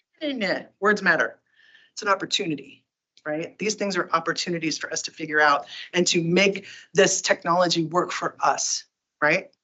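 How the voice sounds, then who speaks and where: The speaker is a woman with a fairly low pitch. Her pitch varies in an ordinary way. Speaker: tech company community advocate giving a talk. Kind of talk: presentation to user group. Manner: fast; animated.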